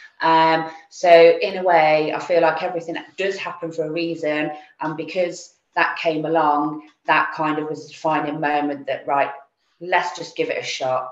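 A woman with an English accent talks at a moderate pace, her fairly low pitch held in a monotone, flat intonation. Audible room echo surrounds her voice. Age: 40s. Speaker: insurance broker. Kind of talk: interview. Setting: video call.

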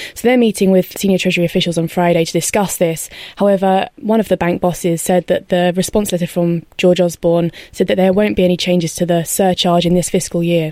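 This woman talks at a very fast pace with a fairly low pitch. Her tone is dark and mellow, and her intonation is fairly even. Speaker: retail banking correspondent. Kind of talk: panel discussion. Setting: studio.

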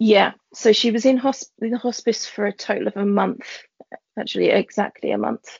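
At a moderate pace, a woman speaks in a London accent. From East London. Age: 30s. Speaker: teacher. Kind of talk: personal testimony in casual chat.

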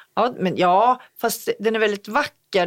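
In a very clean recording with a silent background, a woman uses an ordinary speaking voice at a fairly slow pace with fairly even intonation. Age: 50s. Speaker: podcast co-host. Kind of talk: casual chat.

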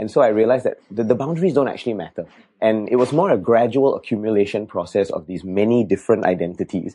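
A man's dark, mellow voice at medium pitch, very fast, with ordinary pitch variation over a quiet background. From Singapore. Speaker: government official and poet. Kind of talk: interview.

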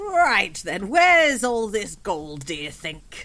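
In a put-on character voice, the speaker talks at a fairly slow pace and fairly high pitch, with very wide pitch swings. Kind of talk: old-timer character voice. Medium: actual play. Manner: grumpy, dry.

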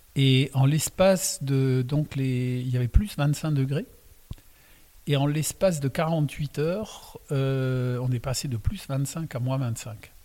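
This man has a dark, mellow tone. He goes at a very slow pace. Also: fairly high pitch for a man, ordinary pitch variation. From Alsace. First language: Alsatian (speaking French). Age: 60s. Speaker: winemaker. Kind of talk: casual interview. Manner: calm.

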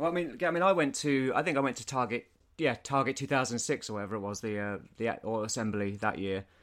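A man talks at a very fast pace with lively intonation and a medium pitch. The recording is very clean, with a silent background. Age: 40s. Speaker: podcast host. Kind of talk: casual chat.

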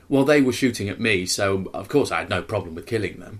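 At a fairly quick pace, the speaker uses an ordinary speaking voice with ordinary pitch variation. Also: man. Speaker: film podcast host. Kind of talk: casual chat.

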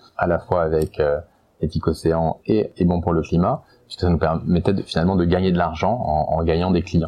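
With fairly even intonation, this man's voice sits at a very deep, low pitch. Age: 40s. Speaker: company founder and CEO. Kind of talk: testimony. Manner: halting, many hesitations.

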